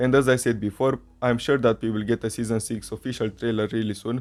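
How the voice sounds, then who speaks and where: A man's medium-pitched voice with a Romanian accent, fairly quick and monotone, flat in intonation, over music in the background. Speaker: fan video creator. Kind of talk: commentary vlog.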